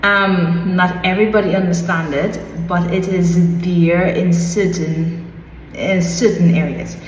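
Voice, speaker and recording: A woman's fairly low voice with a slight Trinidadian accent, at a very slow pace, amid noticeable background noise and audible room echo. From Trinidad and Tobago. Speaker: vlogger. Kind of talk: casual explainer vlog. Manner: careful enunciation.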